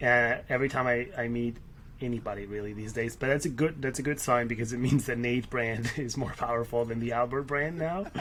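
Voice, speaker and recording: Behind this man there is noticeable background noise. He speaks at a medium pitch and a fairly quick pace, with fairly even intonation. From Spain (Barcelona) and Paris. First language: Spanish. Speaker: startup CEO. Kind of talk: casual interview. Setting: office room, remote podcast.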